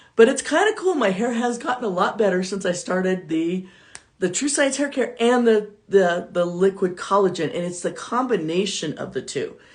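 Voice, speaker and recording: A woman talks with lively intonation while noticeable background noise carries on behind her. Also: medium pitch for a woman, moderate pace. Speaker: network marketing entrepreneur and motivational speaker. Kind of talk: live stream talk. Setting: live video stream. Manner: loud. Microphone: too quiet, no external microphone.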